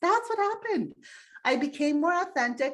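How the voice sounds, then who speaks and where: A woman's normal speaking voice at a fairly quick pace, with lively intonation over a quiet background. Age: 50s. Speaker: human design guide. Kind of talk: casual chat.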